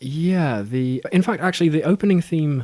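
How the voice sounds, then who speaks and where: A man talks with a southern English accent. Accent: non-specific southern British. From Southwest England. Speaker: podcaster. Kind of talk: casual chat. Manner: halting.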